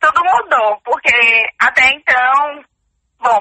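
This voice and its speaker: A woman's high voice with ordinary pitch variation, dry and close with no echo. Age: 20s. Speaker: student. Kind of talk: interview.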